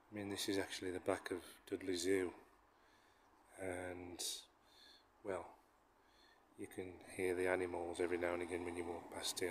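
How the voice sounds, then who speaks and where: A man's voice sits very deep and low, somewhat breathy, with monotone, flat intonation. He moves at a fairly quick pace against noticeable background noise. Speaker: walking vlogger. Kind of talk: casual vlog chat. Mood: relaxed, amused. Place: street. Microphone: phone near.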